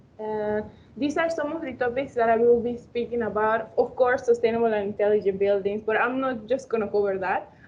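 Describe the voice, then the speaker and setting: A woman with a Spanish accent talks at a fairly quick pace in a fairly high voice, her pitch varying in an ordinary way. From Panama. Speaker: architectural engineering student. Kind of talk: webinar presentation. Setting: online webinar. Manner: halting.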